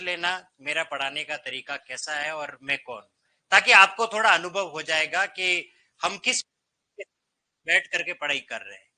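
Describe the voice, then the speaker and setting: A man raises and projects his high-pitched voice, bright and sharp in tone, with ordinary pitch variation. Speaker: Hindi teacher at coaching institute. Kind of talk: classroom lecture. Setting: classroom with students. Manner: conversational, animated. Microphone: no microphone today.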